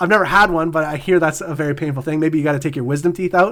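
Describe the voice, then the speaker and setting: A man is speaking. His voice is loud. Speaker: podcast co-host. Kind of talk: casual chat.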